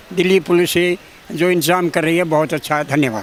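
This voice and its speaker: There is noticeable background noise. A man speaks at a high pitch in a monotone, flat intonation. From Delhi, Bawana village. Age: 80s+. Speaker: retired headmaster. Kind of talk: interview. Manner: halting.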